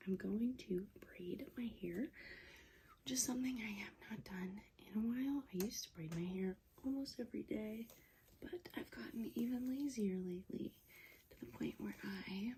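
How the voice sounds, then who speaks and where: A soft-spoken woman's fairly high voice, dark and mellow in tone, somewhat breathy and relaxed, with lively intonation at a moderate pace. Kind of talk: casual talk to camera, ASMR get-ready-with-me chat. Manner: soft-spoken, relaxed.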